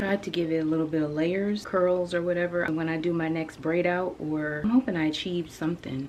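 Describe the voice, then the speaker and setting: Over noticeable background noise, a soft-spoken woman with a fairly low pitch talks at a fairly quick pace. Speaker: sewing vlogger. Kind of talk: soft-spoken ASMR sewing tutorial. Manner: soft-spoken, gentle.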